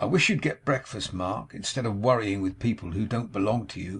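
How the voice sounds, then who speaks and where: Putting on a whiny character voice, a man speaks fairly quickly at a medium pitch with ordinary pitch variation. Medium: read story. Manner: peevish, whining.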